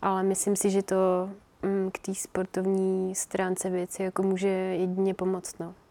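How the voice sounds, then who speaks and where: Dark, mellow tone from a woman at medium pitch, monotone and flat in intonation, at a fairly slow pace, with a dry, close sound and no echo. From Czech Republic. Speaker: professional runner. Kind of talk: casual interview.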